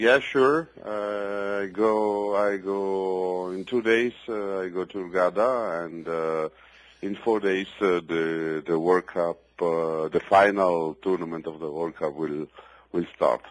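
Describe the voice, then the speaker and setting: A man speaks at a very slow pace. His voice is very deep and low, with ordinary pitch variation. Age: middle-aged. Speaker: professional billiards player. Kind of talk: interview. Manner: halting, many fillers.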